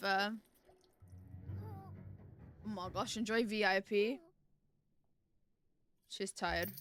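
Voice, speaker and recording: A woman with a West Country accent, very slow speech with long, frequent pauses, music in the background. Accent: British, South West England. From Devon, England. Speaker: streamer. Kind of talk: casual livestream gaming talk.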